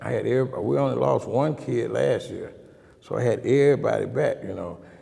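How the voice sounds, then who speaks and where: A man talks at a very fast pace. He has an Alabama accent. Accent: Southern US (Alabama). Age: 60s. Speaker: girls basketball coach. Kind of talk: casual interview.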